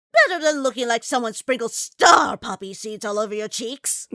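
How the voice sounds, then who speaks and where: Put-on character voice from a woman at fairly high pitch, moderate pace, and ordinary pitch variation. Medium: audio drama.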